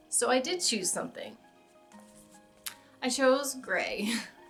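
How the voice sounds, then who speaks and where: Music runs underneath. The voice belongs to a woman. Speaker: crafter. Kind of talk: casual talk to camera.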